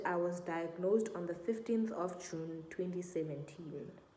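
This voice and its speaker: Fairly slow delivery with ordinary pitch variation, audible room echo and noticeable background noise. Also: woman. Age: 20s. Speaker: vlogger. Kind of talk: Q&A vlog, casual personal story.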